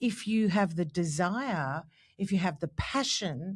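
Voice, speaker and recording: In a very clean recording with a silent background, a woman with an Australian accent speaks at a fairly slow pace in a medium, somewhat breathy voice with lively intonation. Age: 60s. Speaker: podcast co-host. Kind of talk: casual chat. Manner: animated.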